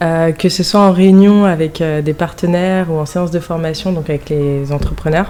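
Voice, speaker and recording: Over noticeable background noise, a woman with a Parisian accent speaks at a fairly low pitch with monotone, flat intonation. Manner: speaks quickly.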